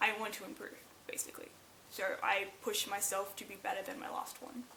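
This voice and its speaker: A woman talks in a fairly high voice, and the room's echo can be heard around her. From Australia. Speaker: cosplay YouTuber. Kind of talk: Q&A video, casual. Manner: casual, animated.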